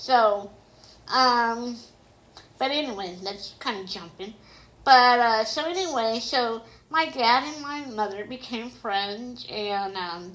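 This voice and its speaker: Heard with audible room echo, a woman talks at a very slow pace and a fairly high pitch, using ordinary pitch variation. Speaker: autobiographical storyteller. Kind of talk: personal memoir narration. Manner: careful articulation due to deafness.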